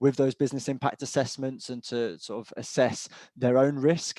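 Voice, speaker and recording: A man in a British accent, medium-pitched and fairly quick, with a dry, close sound and no echo. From England. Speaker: cyber insurance expert. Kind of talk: webinar panel discussion.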